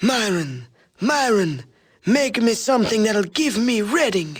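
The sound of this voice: A man puts on a character voice, wheezy and high in pitch. He speaks at a fairly slow pace.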